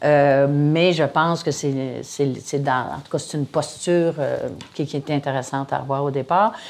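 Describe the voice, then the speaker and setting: Speaking at a fairly slow pace, a woman with a very deep, low voice lets her loudness swing widely. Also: fairly even intonation. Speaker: founder and director of a comedy school. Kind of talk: casual interview.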